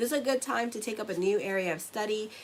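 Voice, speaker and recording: Through noticeable background noise, a woman speaks at a moderate pace with fairly even intonation. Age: 50s. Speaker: astrologer and tarot reader. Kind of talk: horoscope reading monologue. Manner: casual, conversational.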